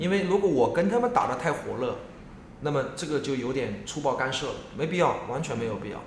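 With very wide pitch swings and a fairly quick pace, the voice carries audible room echo. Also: man, fairly high pitch for a man. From Jiangsu, Yancheng. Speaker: entrepreneur, coffee space founder. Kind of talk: casual interview. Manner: repetitive, stammering.

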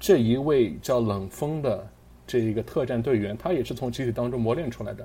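A man with vocal fry and a dark, mellow tone speaks at a fairly quick pace, his pitch varying in an ordinary way. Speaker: podcast host. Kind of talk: casual chat.

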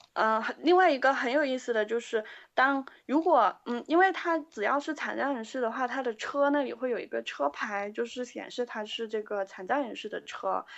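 A woman speaks in a high voice with lively intonation at a moderate pace. She takes hardly any pauses. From Guangzhou, China. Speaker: band member, keyboardist. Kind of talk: interview. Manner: halting.

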